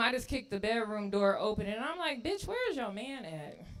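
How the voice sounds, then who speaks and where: A woman speaks at a fairly quick pace with lively intonation. Music is in the background. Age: 30s. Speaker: stand-up comedian. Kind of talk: stand-up. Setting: stage with audience.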